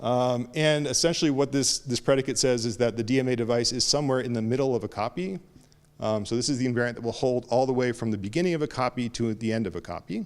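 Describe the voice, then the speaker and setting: Here a man talks at a very fast pace. His pitch is medium, with ordinary variation. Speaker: conference speaker. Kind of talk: technical lecture. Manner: halting, many fillers.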